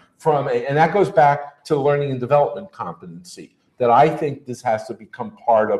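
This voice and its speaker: A man talks at a fairly quick pace. His voice is somewhat breathy, with lively intonation. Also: fairly high pitch for a man, hardly any pauses. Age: 60s. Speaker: learning industry expert. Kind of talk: casual chat.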